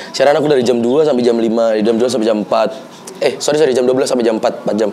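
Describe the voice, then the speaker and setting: A man talks at a very fast pace, with very even loudness, medium pitch and fairly even intonation. Noticeable background noise and audible room echo fill the recording. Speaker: podcast host, former radio announcer and stand-up comedian. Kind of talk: casual chat.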